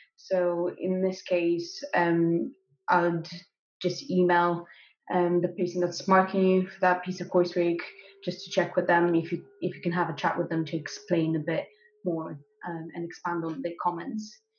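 Over light background noise and audible room echo, a woman with a fairly low pitch speaks at a moderate pace with fairly even intonation. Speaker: graduate student. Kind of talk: interview. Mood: calm, thoughtful. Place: kitchen. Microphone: webcam.

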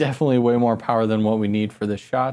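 Dark and mellow is how this man's voice sounds. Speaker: video creator. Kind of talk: tutorial. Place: studio. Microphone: lapel.

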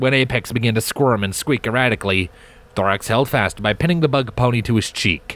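Ordinary pitch variation in plain reading aloud

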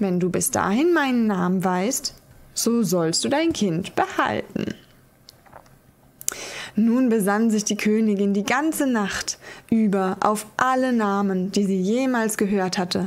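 A woman speaks very slowly at a medium pitch with ordinary pitch variation. Her loudness stays very even, broken by long, frequent pauses. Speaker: ASMR creator. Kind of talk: fairy tale reading, ASMR sleep story. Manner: soft-spoken, slow, calming. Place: home room.

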